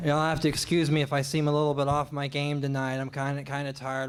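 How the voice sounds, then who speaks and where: A man with an American accent speaks at a fairly quick pace and a medium pitch. Room echo is audible. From Oklahoma. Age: 40s. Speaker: stand-up comedian. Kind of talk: stand-up. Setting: stage with audience. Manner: halting.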